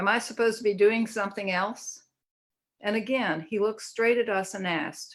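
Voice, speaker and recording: A woman with a Southern US accent, moderate in pace and fairly even in intonation. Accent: Southern US (Georgia). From US South, Georgia. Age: 70s. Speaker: therapist, book contributor. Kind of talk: reading aloud.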